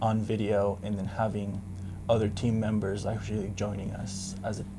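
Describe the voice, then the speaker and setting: A man speaks at a fairly slow pace with monotone, flat intonation. His tone is dark and mellow, and his pitch is fairly low. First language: Spanish. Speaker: photographer and DJ business owner. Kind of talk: interview.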